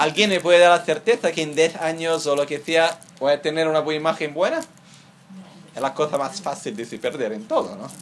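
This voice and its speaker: An ordinary speaking voice from a man, fairly high in pitch with ordinary pitch variation, at a fairly quick pace with big swings in loudness. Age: 30s. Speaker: Buddhist teacher. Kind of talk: dharma teaching.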